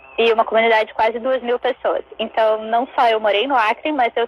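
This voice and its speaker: A woman with a fairly high voice speaks in a dry, close sound with no echo, over noticeable background noise. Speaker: zero-waste researcher and chocolate maker. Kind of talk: casual interview chat. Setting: online live stream.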